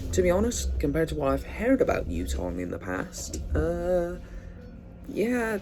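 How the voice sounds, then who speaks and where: A man talks at a moderate pace. Music can be heard behind him. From Scotland, Edinburgh. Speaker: bus enthusiast video presenter. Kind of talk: casual vlog review. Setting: on a moving bus. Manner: casual, filler-heavy.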